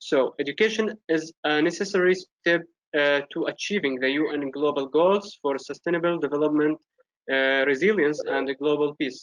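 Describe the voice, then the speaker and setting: With an Arabic accent, a man talks at a moderate pace in a fairly high pitch with ordinary pitch variation, the sound dry and close with no echo. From Syria. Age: 20s. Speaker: youth representative. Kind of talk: prepared speech. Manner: halting.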